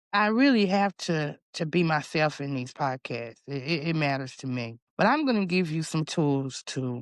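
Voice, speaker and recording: A woman with a very deep, low pitch speaks at a moderate pace with lively intonation and hardly any pauses. The background is quiet, and the sound is dry and close with no echo. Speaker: podcast host. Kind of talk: motivational talk. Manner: loud.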